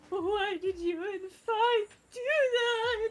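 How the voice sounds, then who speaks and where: The put-on character voice is squeaky. Its pitch is extremely high. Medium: game stream. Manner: showy, gleeful, mocking.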